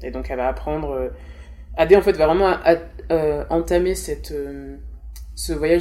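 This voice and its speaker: A woman is talking at a moderate pace. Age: 20s. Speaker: children's author and blogger. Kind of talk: interview.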